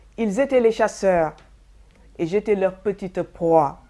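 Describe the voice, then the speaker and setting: A woman talks very slowly in a dark, mellow tone. Her pitch is medium, with ordinary variation. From Senegal. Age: 60s. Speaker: testimony giver. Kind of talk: testimony. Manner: formal.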